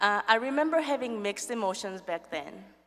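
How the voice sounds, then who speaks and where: A woman with a non-native accent speaks at a moderate pace in a fairly high voice, her tone bright and sharp and her intonation lively. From another country. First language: not English. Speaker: nursing professor. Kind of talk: award acceptance speech. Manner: halting.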